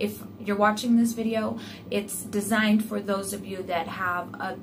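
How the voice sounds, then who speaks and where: Noticeable background noise is present throughout. Over it, a woman talks at a moderate pace, her pitch varying in an ordinary way. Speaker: home sewing vlogger. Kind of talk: tutorial intro, casual vlog chat. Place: home room. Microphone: phone near.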